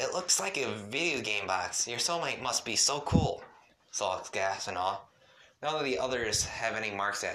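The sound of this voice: Someone reads in an unforced reading voice full of lively intonation.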